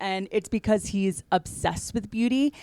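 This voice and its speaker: The recording is very clean with a silent background. A woman speaks at medium pitch and a moderate pace with ordinary pitch variation. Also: dry, close sound with no echo. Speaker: podcast host. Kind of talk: solo podcast talk. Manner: halting, many fillers.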